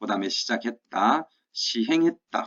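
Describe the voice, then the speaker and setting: A man speaks at a moderate pace. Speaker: history teacher. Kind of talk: lecture. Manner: emphatic.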